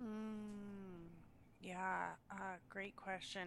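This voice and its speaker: An ordinary speaking voice moves with fairly even intonation. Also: woman. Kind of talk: casual chat.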